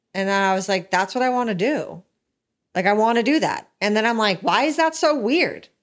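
A woman's unremarkable speaking voice, fairly high in pitch, with lively intonation and very even loudness, in a very clean recording with a silent background. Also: fairly quick pace. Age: 30s. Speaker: podcast host's wife. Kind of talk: casual chat. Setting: studio.

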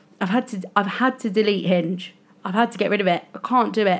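A woman talks at a moderate pace. Her pitch is fairly high and varies in an ordinary way. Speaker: podcast host. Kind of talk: solo podcast monologue, casual and confessional. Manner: chatty, emotional, slightly rambling.

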